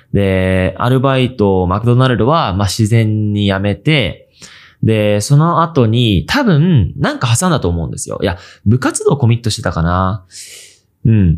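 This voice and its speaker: Speaking at a fairly slow pace, a man has a plain, everyday voice, medium pitch and lively intonation. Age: 20s. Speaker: video creator and podcast host. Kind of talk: casual solo podcast talk. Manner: casual, with many fillers.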